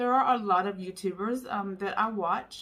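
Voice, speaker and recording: A woman talks at a moderate pace in an unremarkable speaking voice of medium pitch. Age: 40s. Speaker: YouTuber sharing weight-loss story. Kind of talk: personal vlog testimony. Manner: casual with frequent fillers.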